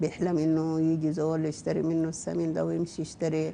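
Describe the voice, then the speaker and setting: A woman's fairly low, dark and mellow voice with a Sudanese accent. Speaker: novelist. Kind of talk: interview.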